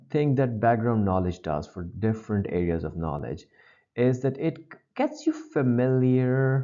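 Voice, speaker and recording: A man with a non-native accent at medium pitch, fairly slow pace and dark, mellow tone, against a quiet background. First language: not English. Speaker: GRE test-prep teacher. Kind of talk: lecture.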